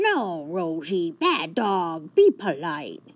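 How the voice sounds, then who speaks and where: A female-sounding put-on character voice at a middle pitch and a very slow pace. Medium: read story. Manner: warm, encouraging.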